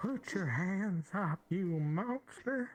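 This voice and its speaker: The voice sounds female and is a put-on character voice. Its pitch is medium. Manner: commanding, mock-serious.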